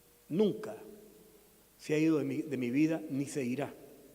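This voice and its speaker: A man's fairly high voice carries audible echo from the room. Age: 60s. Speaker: pastor. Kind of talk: sermon.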